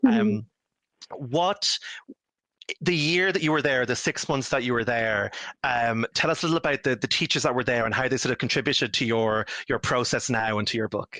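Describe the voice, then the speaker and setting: With an Irish accent, a man talks at a medium pitch and a moderate pace, his bright, sharp tone carried by lively intonation at very even loudness, in a dry, close sound with no echo. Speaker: author and moderator. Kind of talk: panel discussion. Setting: online video event.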